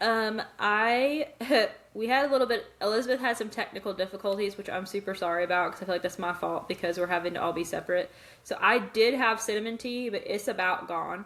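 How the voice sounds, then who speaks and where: At a fairly quick pace, a woman of medium pitch talks over noticeable background noise. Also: ordinary pitch variation. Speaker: book podcast co-host. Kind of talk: casual chat. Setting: remote recording, separate locations.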